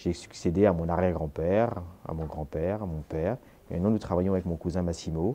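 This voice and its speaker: A man's very deep, low voice with a dark, mellow tone, very fast pace and fairly even intonation. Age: 40s. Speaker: master tailor. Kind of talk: interview. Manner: hesitant.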